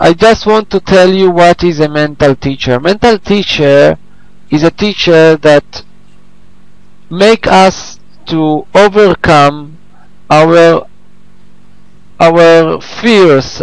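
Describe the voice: At a very slow pace with long, frequent pauses, a man with a fairly high pitch and vocal fry shows ordinary pitch variation.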